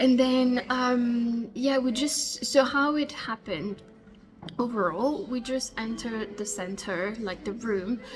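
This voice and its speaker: Noticeable background noise sits behind a woman with a French accent. She speaks very slowly at a fairly high pitch with ordinary pitch variation. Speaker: vlogger, law student. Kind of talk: casual vlog. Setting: hotel café. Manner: hesitant, many fillers.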